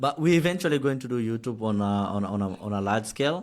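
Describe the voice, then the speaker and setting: A man with a Kenyan accent talks fairly quickly at a medium pitch. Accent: Kenyan English, heavier than American. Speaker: podcast host. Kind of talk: casual chat.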